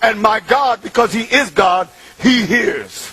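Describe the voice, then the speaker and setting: Over music in the background, a man with a high pitch uses a raised, projected voice and an animated tone. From New York City, Bronx (Puerto Rican). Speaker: convert speaker. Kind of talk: testimony. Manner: emphatic, animated.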